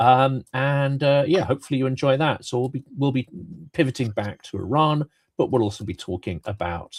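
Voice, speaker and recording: A somewhat breathy male voice with lively intonation, on a very clean recording with a silent background. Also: dry, close sound with no echo. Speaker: political commentary show host. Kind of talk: casual chat.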